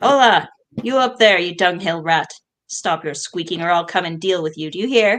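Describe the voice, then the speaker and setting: A growling, put-on character voice delivers the lines at a moderate pace. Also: female-sounding voice, medium pitch for a woman. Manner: snarling, threatening.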